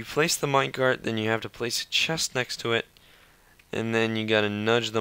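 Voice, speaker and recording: A man talks with a bright, sharp tone. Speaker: Minecraft YouTuber. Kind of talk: game tutorial narration. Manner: casual, hesitant.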